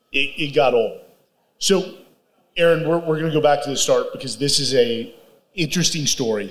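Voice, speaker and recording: Long, frequent pauses break up speech delivered at a moderate pace with ordinary pitch variation. Audible room echo surrounds the voice. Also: man, fairly high pitch for a man. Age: 40s. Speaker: podcast host. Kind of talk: casual interview. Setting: stage with live audience.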